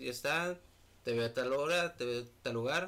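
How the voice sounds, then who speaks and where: This man has an unremarkable speaking voice, medium in pitch with ordinary variation, and he talks at a moderate pace. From Mexico, Monterrey, Nuevo León. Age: 20s. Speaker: photographer. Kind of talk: casual chat.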